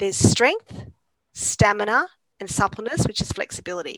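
A woman with an Australian accent, fairly high pitch, ordinary pitch variation, and a moderate pace, in a dry, close sound with no echo. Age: 50s. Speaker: exercise scientist and lecturer. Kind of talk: casual interview.

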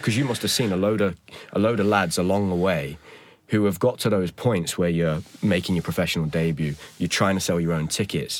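A man's very deep, low voice with an East Midlands accent, at a fairly quick pace and very even loudness. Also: ordinary pitch variation. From Nottingham, England. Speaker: podcast host. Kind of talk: interview.

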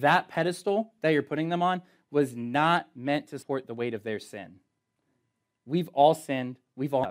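Here is a man with an unremarkable speaking voice, pitched fairly high and moving at a fairly quick pace. His pitch varies in an ordinary way, and the recording is very clean with a silent background. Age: 20s. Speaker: youth pastor. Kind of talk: youth group sermon. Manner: casual, conversational.

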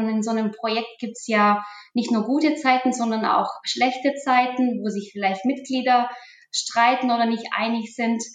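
Fairly even intonation at a moderate pace, with audible room echo. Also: woman. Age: 40s. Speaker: IT manager. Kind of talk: interview.

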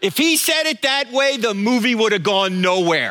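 Over noticeable background noise, a raised, projected voice with an American accent carries lively intonation. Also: man. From New Jersey. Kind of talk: sermon. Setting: church. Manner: fast.

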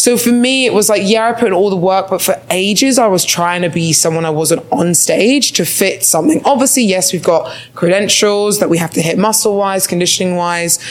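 A woman's medium-pitched voice at a moderate pace, lively in intonation, against noticeable background noise. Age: 20s. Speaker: podcast co-host, bodybuilder. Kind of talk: casual chat. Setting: stage with audience.

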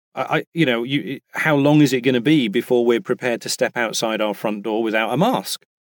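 Speaking at a fairly quick pace with a British accent, a man is heard on a very clean recording with a silent background and a dry, close sound with no echo. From England. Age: 50s. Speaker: voice actor. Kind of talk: casual interview chat. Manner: halting, many restarts.

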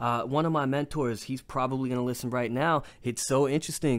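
Someone with an American accent speaks at a fairly quick pace with hardly any pauses on a very clean recording with a silent background. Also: man. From New York. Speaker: podcast host. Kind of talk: casual chat. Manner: animated.

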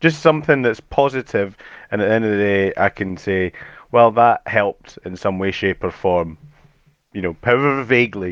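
With a slight Edinburgh accent, a man speaks at a fairly low pitch and moderate pace, using ordinary pitch variation in a dry, close sound with no echo. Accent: mild Edinburgh Scottish. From Scotland, Edinburgh. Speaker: tool hire company manager. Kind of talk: podcast interview. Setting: studio.

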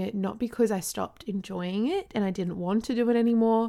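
A woman with an Australian accent speaks at a fairly high pitch. Her pitch varies in an ordinary way, and the recording is very clean with a silent background. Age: 20s. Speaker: podcast host and lifestyle blogger. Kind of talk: casual monologue.

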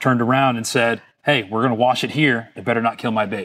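A man with a plain, everyday voice and an American accent speaks at medium pitch with fairly even intonation and a fairly quick pace, on a very clean recording with a silent background. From Florida (Fort Lauderdale). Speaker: business owner of boat cleaning products. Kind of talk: interview.

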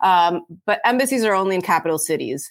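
A woman at medium pitch talks at a fairly quick pace with lively intonation and an animated tone. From Italy, raised abroad incl. Washington. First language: Italian. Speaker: diplomat. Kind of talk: interview.

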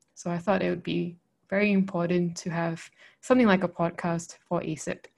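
A woman's fairly low voice in a monotone, flat intonation at a moderate pace, over a quiet background. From Malaysia. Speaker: podcast co-host. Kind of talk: casual chat.

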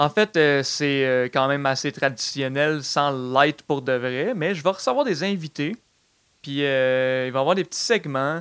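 A man with a plain, everyday voice and a fairly high pitch speaks at a fairly slow pace, with ordinary pitch variation. The sound is dry and close with no echo, on a very clean recording with a silent background. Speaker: comedy podcast host. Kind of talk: comedic casual chat.

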